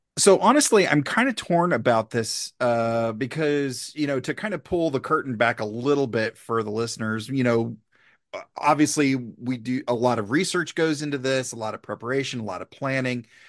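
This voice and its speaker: Against a quiet background, a man with a plain, everyday voice talks at a medium pitch and moderate pace, using ordinary pitch variation. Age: 40s. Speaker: comedian. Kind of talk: casual chat.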